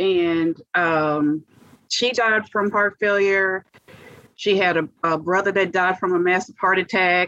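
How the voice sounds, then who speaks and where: Delivered in an ordinary speaking voice at a fairly slow pace with ordinary pitch variation, the sound is dry and close with no echo. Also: woman. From US South, Monroe, Louisiana. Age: 50s. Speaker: heart transplant recipient. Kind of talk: interview testimony.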